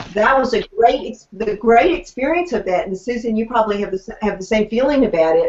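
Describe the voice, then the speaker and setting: The voice carries a Southern US accent and ordinary pitch variation. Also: woman. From Tennessee. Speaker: author, former journalist. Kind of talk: casual chat. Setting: video call.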